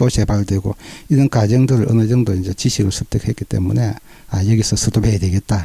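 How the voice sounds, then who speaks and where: A man speaks in a dark, mellow tone at a fairly low pitch, somewhat breathy. His intonation stays fairly even at a moderate pace. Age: 60s. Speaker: cancer patient. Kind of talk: interview testimony.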